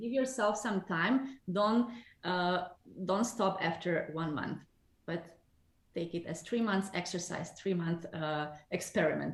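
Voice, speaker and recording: At a fairly slow pace, a woman speaks at medium pitch, somewhat breathy, with ordinary pitch variation. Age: 40s. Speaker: numerologist. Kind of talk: interview.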